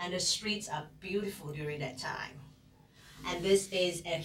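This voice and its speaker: A woman speaks with a Fujianese accent amid audible room echo. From Singapore. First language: Hokkien. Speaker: psychology instructor. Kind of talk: lecture. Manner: hesitant, with fillers.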